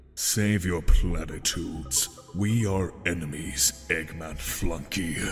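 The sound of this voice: Using a put-on character voice, a man speaks at a very deep, low pitch over clear background noise. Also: fairly slow pace.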